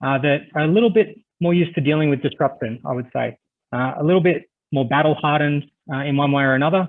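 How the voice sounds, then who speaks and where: A man with an Australian accent at a very fast pace, fairly high pitch and ordinary pitch variation. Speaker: cybersecurity risk management business leader. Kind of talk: webinar presentation. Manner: hesitant, many filler words.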